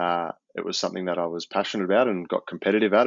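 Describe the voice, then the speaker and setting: The speaker talks at a very fast pace. The intonation stays fairly even. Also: man. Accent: Australian. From Australia. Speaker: professional rugby player. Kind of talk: casual interview.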